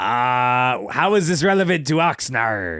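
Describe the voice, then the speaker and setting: A man's put-on character voice at medium pitch and a fairly slow pace, in a very clean recording with a silent background. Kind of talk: pirate talk. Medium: actual play. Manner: folksy, storytelling.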